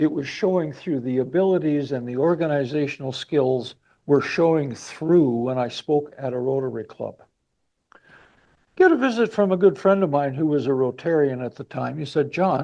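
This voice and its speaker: A man with a fairly high pitch, ordinary pitch variation, a Manitoban accent, and a moderate pace. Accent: Canadian (Manitoba). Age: 70s. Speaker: motivational speaker. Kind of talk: speech to audience. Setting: club meeting with live and online audience.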